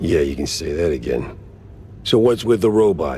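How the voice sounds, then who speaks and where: Over clear background noise, a man puts on a raspy character voice with a very deep, low pitch, speaking at a moderate pace. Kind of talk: noir detective. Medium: video game. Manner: sarcastic, gruff.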